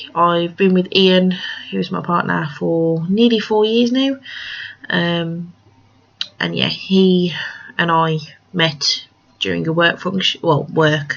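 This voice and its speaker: Noticeable background noise sits behind a woman who speaks at a very slow pace with long, frequent pauses. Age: 20s. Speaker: craft podcaster. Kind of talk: casual monologue. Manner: hesitant, many fillers.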